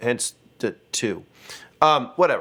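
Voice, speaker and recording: A man's voice with lively, bouncing intonation. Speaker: music teacher. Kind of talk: tutorial.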